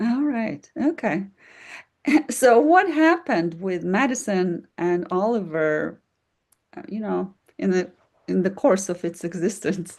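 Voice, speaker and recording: A woman with a non-native accent, fairly slow and lively in intonation, with long, frequent pauses against a quiet background. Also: medium pitch for a woman. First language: not English. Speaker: podcast host. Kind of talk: interview.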